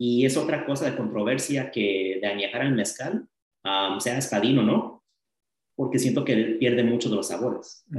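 A man is talking. His voice is medium in pitch. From Los Angeles and Las Vegas, US. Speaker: bartender. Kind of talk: casual chat. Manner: halting, frequent fillers.

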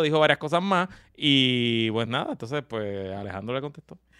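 The pitch moves in an ordinary way. It's an unremarkable speaking voice. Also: man. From Puerto Rico, San Juan metro area. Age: 40s. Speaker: podcast co-host. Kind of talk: casual chat.

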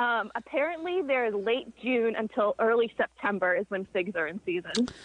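With lively intonation, a woman with a normal speaking voice and a fairly high pitch speaks at a moderate pace. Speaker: caller. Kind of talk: casual chat. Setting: phone call. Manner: playful.

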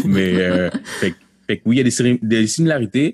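Dry and close with no echo, the recording holds a man with a normal speaking voice. He talks at a fairly quick pace with ordinary pitch variation. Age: 30s. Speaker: pastor and slam poet. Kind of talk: interview. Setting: video call.

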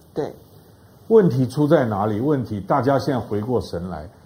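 Vocal fry and very wide pitch swings at a moderate pace. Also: man. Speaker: professor of strategic studies. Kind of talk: panel discussion on talk show.

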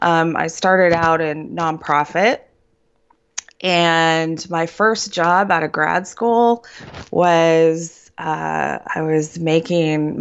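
Someone speaks at a very slow pace with an American accent. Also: woman. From Ohio, Cleveland. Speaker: therapist and midlife coach. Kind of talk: interview.

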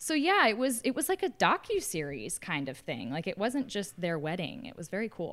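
A woman's medium-pitched voice with vocal fry, very wide pitch swings, a moderate pace and hardly any pauses. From US South. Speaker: podcast host, former reality TV contestant. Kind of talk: casual interview.

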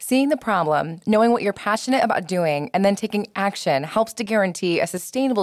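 A woman speaks with an American accent in a normal speaking voice at a medium pitch, with lively intonation. She goes at a fairly quick pace with hardly any pauses, in a very clean recording with a silent background. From Metro Detroit, US Midwest. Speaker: podcast host, former interior designer. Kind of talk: scripted narration.

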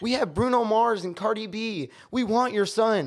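A man talks in an American accent. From San Francisco Bay Area, California. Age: 20s. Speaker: rapper and chef. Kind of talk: casual chat.

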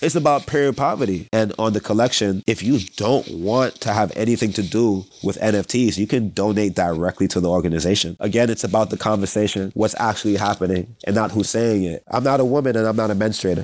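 The speaker has an unremarkable speaking voice and an American accent, talking at a fairly quick pace with hardly any pauses and very even loudness. Pitch variation is ordinary, and the background is quiet. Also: man, fairly low pitch for a man. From Brooklyn, New York. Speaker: dancer, choreographer and musician. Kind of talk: interview, casual chat.

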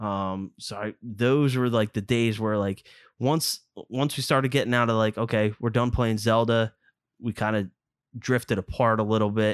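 In a Philadelphia accent, a man speaks at a moderate pace with a medium pitch and fairly even intonation, on a very clean recording with a silent background and a dry, close sound with no echo. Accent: Philadelphia area. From suburban Philadelphia. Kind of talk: casual chat.

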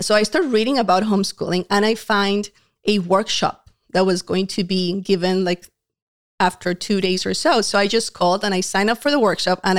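A woman with a Colombian accent and medium pitch, fairly quick in pace with ordinary pitch variation and very even loudness, in a very clean recording with a silent background and a dry, close sound with no echo. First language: Spanish. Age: 30s. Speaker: homeschool speaker and organization founder. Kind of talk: casual interview chat. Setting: studio.

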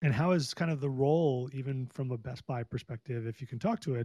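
A man's medium-pitched, dark and mellow voice, somewhat breathy, at a moderate pace with ordinary pitch variation, in a dry, close recording with no echo. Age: 40s. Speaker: podcast host. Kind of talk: interview conversation. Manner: enthusiastic.

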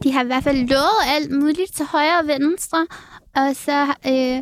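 The woman's pitch is high, with ordinary variation. Her sound is dry and close, with no echo. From Denmark, Aalborg. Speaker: TikTok creator and reality TV participant. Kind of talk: casual chat.

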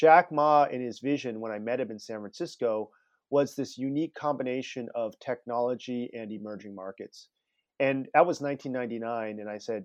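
Speaking with an American accent at a moderate pace, a man of medium pitch shows ordinary pitch variation, the sound dry and close with no echo over a quiet background. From US West Coast (Palo Alto, California). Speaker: entrepreneur and author. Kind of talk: interview.

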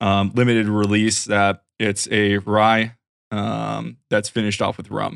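A man with a Western New York accent, fairly slow pace and flat, monotone intonation. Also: fairly low pitch for a man. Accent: Western New York American. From Rochester, New York. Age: 30s. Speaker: cybersecurity professional and hobby photographer. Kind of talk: casual chat. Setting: home studio, remote call.

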